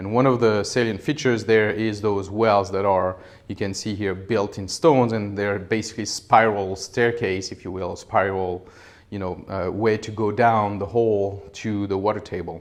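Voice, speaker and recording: Amid audible room echo, a man with a French accent and a fairly low pitch speaks at a moderate pace with fairly even intonation. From France. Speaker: professor. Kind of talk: lecture. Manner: hesitant, many fillers.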